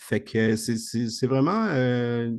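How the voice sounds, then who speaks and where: A man speaks with a Spanish accent against a quiet background. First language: Spanish (speaking French). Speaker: investment program presenter. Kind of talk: video call presentation. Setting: video call.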